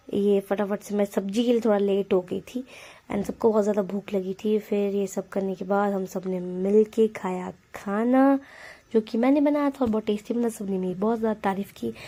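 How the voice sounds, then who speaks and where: On a very clean recording with a silent background, a woman speaks at medium pitch. Her tone is dark and mellow, her pace moderate and her intonation fairly even. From Himachal Pradesh, India. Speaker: vlogger. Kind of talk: vlog narration.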